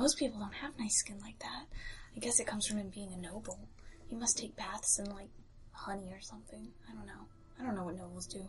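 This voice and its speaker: In a put-on character voice, someone whispers and mumbles at a very fast pace, broken by long, frequent pauses. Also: woman. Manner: whispering, mumbling to self.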